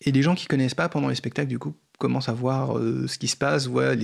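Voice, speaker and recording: Over a very clean recording with a silent background, a man of medium pitch talks at a fairly quick pace with ordinary pitch variation. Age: 40s. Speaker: software developer and coding workshop co-founder. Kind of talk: radio interview. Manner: halting, many repetitions.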